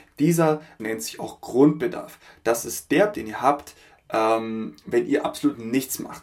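The pace is fairly slow. Vocal fry runs through the voice. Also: man. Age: 30s. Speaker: podcast host. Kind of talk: solo podcast monologue. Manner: filler-heavy, with frequent ähm.

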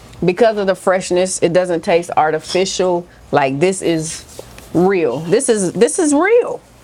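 Noticeable background noise sits behind a woman speaking fairly slowly. Her pitch is medium, with ordinary variation. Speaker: food vlogger. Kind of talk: casual chat. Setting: restaurant.

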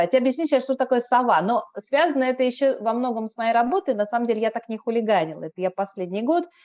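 This woman has a normal speaking voice, pitched fairly high, with lively intonation. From Moscow, Russia. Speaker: blogger and Korean teacher. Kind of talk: casual chat. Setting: remote call.

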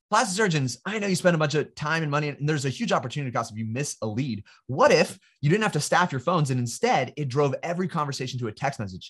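Against a quiet background, a man with an American accent talks very fast at a fairly high pitch with lively intonation. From California. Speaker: marketing agency founder. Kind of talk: casual interview.

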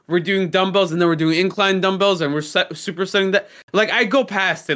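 In a very clean recording with a silent background, a man with a high pitch uses a raised, projected voice and a bright, sharp, animated tone, talking at a very fast pace with very even loudness and hardly any pauses. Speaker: podcast co-host. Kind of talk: casual chat.

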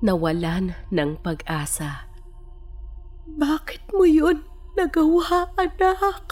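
With music playing behind her, a woman speaks at a very slow pace. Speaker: guest narrator. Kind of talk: dramatic scripted narration of a tragic story, first person. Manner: somber, mournful and reflective at the end.

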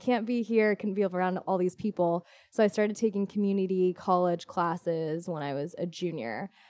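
This speaker has a Californian accent and a dark, mellow tone, with ordinary pitch variation at a moderate pace. The recording is very clean and dry, close-miked with no echo against a silent background. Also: woman. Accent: Californian American. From US West Coast, Orange County, California. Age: 20s. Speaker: fitness instructor and event organizer. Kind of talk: casual interview.

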